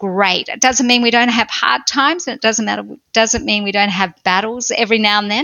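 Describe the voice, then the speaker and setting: A woman speaks in an Australian accent. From Australia, country Victoria. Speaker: pastor and author. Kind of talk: personal testimony interview.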